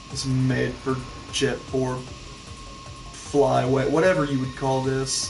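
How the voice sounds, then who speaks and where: Speech comes at a very slow pace with long, frequent pauses, set against music in the background and audible room echo. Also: man. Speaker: gaming streamer. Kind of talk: casual gameplay commentary. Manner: quieter than usual.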